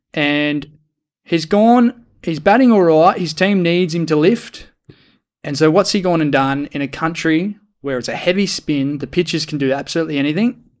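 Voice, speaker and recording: In a very clean recording with a silent background, a man with an Australian accent speaks at a moderate pace and fairly high pitch. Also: ordinary pitch variation. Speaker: podcast co-host. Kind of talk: casual chat.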